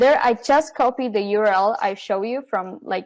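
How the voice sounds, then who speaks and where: With a non-native accent, a woman speaks using ordinary pitch variation. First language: not English. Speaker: software company marketing staff. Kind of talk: live product demo.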